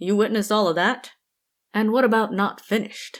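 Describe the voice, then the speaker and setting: A female-sounding voice puts on a character voice at a fairly high pitch, raised and projected. The recording is very clean with a silent background. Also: fairly quick pace. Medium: read story. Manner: dry, weary.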